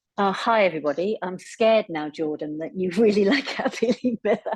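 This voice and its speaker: A woman talks with an English accent and lively intonation. The sound is dry and close, with no echo. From England, Cornwall. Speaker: netball coach. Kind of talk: casual self-introduction on video call.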